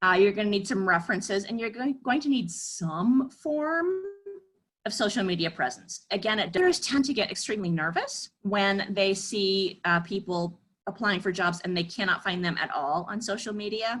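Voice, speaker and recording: With an American accent, a woman speaks at medium pitch with lively intonation. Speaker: career counselor. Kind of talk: webinar presentation. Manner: fast.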